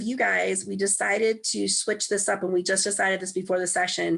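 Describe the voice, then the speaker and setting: A woman with a medium-pitched voice talks fairly quickly while noticeable noise runs in the background. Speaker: science education trainer. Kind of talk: online training session. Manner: hesitant with many fillers.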